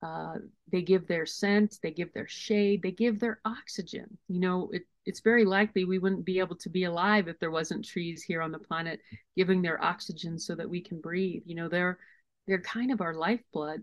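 In an unremarkable speaking voice, a woman talks at a moderate pace and medium pitch. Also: fairly even intonation. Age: 50s. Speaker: wilderness guide and author. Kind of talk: casual chat.

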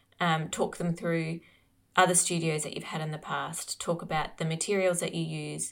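With a plain, everyday voice, a woman talks at a fairly quick pace and a fairly low pitch over a very clean recording with a silent background. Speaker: podcast co-host, artist. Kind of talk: casual conversational chat.

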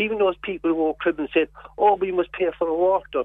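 Talking at a fairly quick pace, a man with a Cork accent has a high pitch. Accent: Cork Irish. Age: 60s. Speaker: activist. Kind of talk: radio interview.

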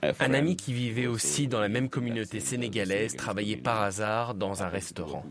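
Over noticeable background noise, a man with a fairly low voice speaks at a fairly slow pace with lively intonation. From Senegal, Dakar. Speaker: chef. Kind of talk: interview.

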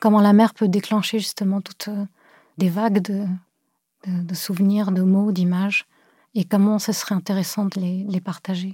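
Somewhat breathy and dark, mellow in tone, a woman speaks at medium pitch in a monotone, flat delivery at a moderate pace with long, frequent pauses. The recording is very clean with a silent background and a dry, close sound with no echo. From Cameroon and France (born in Beirut). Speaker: visual artist. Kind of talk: interview. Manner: hesitant, many fillers.

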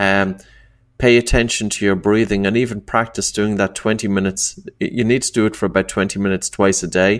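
Fairly low-pitched male speech with an Irish accent, fairly quick and fairly even in intonation, on a very clean recording with a silent background. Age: 40s. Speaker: breathing coach and author. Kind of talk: interview.

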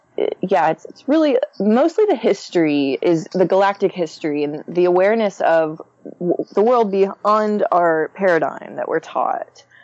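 Over noticeable background noise, a woman at a medium pitch speaks at a moderate pace with lively intonation. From Texas, Conroe north of Houston. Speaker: astrologer and spiritual guide. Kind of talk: interview.

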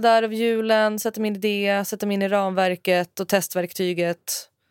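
A woman with an unremarkable speaking voice talks at a moderate pace in a fairly high pitch, her intonation fairly even, on a very clean recording with a silent background and a dry, close sound with no echo. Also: hardly any pauses. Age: 30s. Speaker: developer intern, podcast host's sister. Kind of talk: casual chat. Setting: studio.

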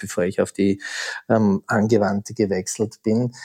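A man speaks at medium pitch in a flat monotone, his tone dark and mellow, at a moderate pace. The recording is very clean, with a silent background and a dry, close sound with no echo. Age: 50s. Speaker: thriller author. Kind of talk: interview.

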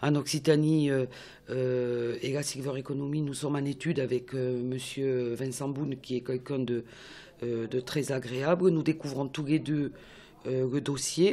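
This woman has a very deep, low pitch and fairly even intonation. She speaks at a fairly slow pace. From Toulouse, southern France. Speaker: regional councillor. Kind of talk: interview. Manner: hesitant.

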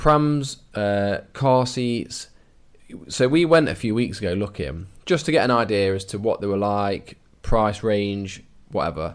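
Here a man with an English accent speaks at a fairly slow pace. His voice sits at a fairly low pitch. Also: lively intonation. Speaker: adoption podcast co-host. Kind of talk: casual chat.

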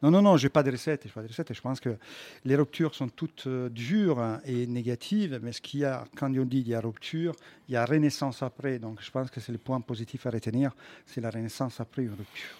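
With an Italian accent, a man talks at a fairly quick pace in a medium-pitched, dark, mellow voice with ordinary pitch variation and a dry, close sound with no echo. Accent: put-on Italian accent in French. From Quebec, Montreal. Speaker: comedian. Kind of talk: radio interview. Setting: studio.

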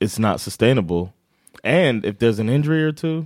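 A man with an American accent speaks in a plain, everyday voice at a medium pitch and moderate pace, his intonation lively, on a very clean recording with a silent background. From United States. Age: 30s. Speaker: sports podcast co-host. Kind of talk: casual chat. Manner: laughs often.

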